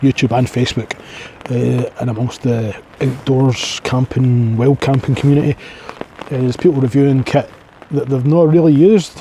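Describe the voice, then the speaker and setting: A man's medium-pitched voice with a strong Scottish accent and ordinary pitch variation, over noticeable background noise. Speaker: outdoors vlogger. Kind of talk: casual vlog monologue. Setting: outdoors in a forest at night. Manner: rambling casual.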